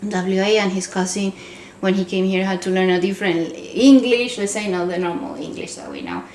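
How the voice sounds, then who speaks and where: A woman with a slight Venezuelan accent talks fairly quickly with ordinary pitch variation and big swings in loudness, amid noticeable background noise and audible room echo. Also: medium pitch for a woman. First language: Spanish. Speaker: podcast co-host. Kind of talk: casual chat.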